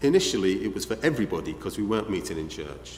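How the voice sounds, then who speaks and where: In a Liverpool accent, a man with a fairly low voice speaks at a fairly quick pace, with audible room echo around him. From northern England, Liverpool. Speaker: visiting preacher. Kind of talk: sermon.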